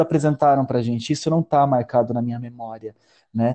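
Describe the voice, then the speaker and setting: A man at a fairly quick pace. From Palotina, western Paraná, Brazil. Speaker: storyteller and artist. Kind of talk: casual interview chat. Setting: video call.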